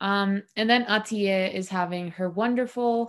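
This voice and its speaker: Heard in a very clean recording with a silent background, the speaker has a plain, everyday voice with ordinary pitch variation. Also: woman. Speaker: podcast co-host recapping episode. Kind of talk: casual chat. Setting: home recording with cat nearby.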